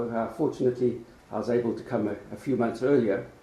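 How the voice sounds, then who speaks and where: This man talks at a fairly quick pace in a South African accent, his medium-pitched voice monotone and flat. Noticeable background noise and audible room echo fill the recording. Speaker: law professor. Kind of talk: lecture. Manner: hesitant with frequent fillers.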